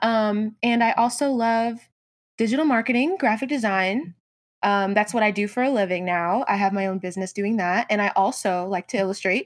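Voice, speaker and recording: A woman with an American accent speaks at a moderate pace in a fairly high pitch with ordinary pitch variation and a normal speaking voice, on a very clean recording with a silent background. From US South. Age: 20s. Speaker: graphic designer and entrepreneur. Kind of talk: interview.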